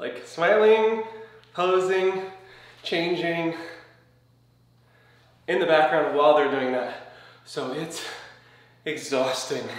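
Audible room echo surrounds a man's high voice as he talks at a very slow pace with long, frequent pauses and ordinary pitch variation. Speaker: physique competitor vlogger. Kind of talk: casual vlog chat. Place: home room. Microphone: camera far.

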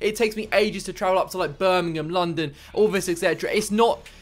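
A man's high voice at a fairly quick pace with ordinary pitch variation, over faint background music. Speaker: football content creator. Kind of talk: casual vlog chat. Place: home room. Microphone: studio mic.

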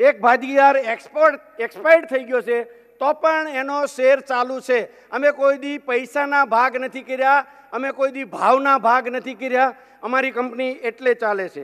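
This man's pitch is extremely high. His intonation is fairly even. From Gujarat, rural Saurashtra; Gujarat. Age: 50s. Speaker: businessman; speaker. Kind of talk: keynote speech. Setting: stage with audience. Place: hall. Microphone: podium.

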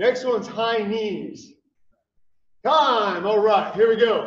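An extremely high-pitched male voice at a very slow pace, with audible room echo and light background noise. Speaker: fitness coach. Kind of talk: live-streamed workout class, calling out moves and timing cues. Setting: livestream video with viewer chat. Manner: clipped, rhythmic drill-style commands, repeated for pacing; upbeat, encouraging coach energy with cheers. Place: gym.

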